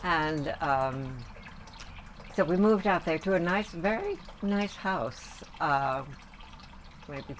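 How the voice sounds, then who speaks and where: A woman talks with ordinary pitch variation while noticeable noise runs in the background. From New York area, US Northeast. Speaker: grandmother interviewed about her life. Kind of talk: family oral history interview.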